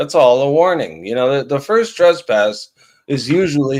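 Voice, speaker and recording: Here is a man with a plain, everyday voice at medium pitch. His intonation is lively and his pace moderate. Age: 50s. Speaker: live stream panelist. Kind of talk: casual chat.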